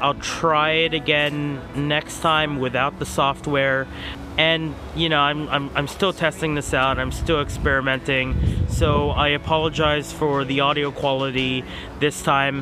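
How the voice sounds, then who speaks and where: Amid noticeable background noise, a man with a fairly high pitch speaks in a monotone, flat intonation at very even loudness. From Philippines. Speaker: podcast host. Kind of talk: casual chat.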